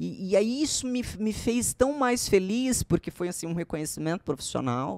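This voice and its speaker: With very wide pitch swings and hardly any pauses, a woman talks at a moderate pace in a dry sound with no echo. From Alagoas, Brazil. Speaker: TV presenter and journalist; podcast guest, presenter. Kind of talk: casual interview chat. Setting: studio. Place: studio. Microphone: studio mic.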